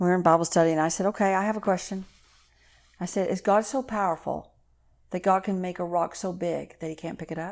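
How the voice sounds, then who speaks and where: Speaking very fast, a woman has a Texan accent. Her pitch sits in the medium range, with fairly even intonation. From Texas. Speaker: minister. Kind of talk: casual chat.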